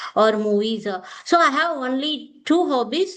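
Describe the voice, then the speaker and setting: Speaking at a fairly slow pace, a woman talks in a South Indian accent. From India, Tamil Nadu. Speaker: online English tutor. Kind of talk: casual conversation practice. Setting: video call.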